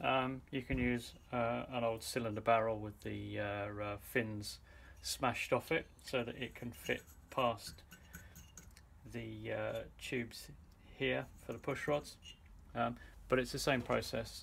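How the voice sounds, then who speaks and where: Over light background noise, a man speaks at a fairly slow pace with long, frequent pauses. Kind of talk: tutorial. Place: garage. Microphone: phone near.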